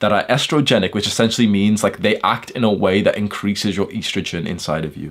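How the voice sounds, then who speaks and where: A man speaks in an animated tone with a British accent. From UK. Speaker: self-improvement influencer. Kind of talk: monologue talk video. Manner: casual.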